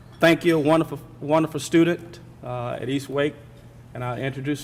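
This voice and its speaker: A man with a Southern US accent speaks at a fairly high pitch, keeping his intonation fairly even. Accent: Southern drawl. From US South. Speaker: corporate speaker at a charity breakfast. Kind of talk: welcome speech. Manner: halting, many fillers.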